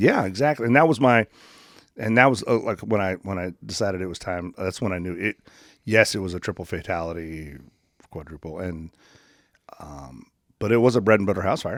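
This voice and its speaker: With an American accent and a very deep, low pitch, a man talks at a fairly quick pace, pausing long and often, his loudness swinging widely, on a very clean recording with a silent background. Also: lively intonation. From California central coast. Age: 50s. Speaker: retired firefighter, radio host and student. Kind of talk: casual interview conversation.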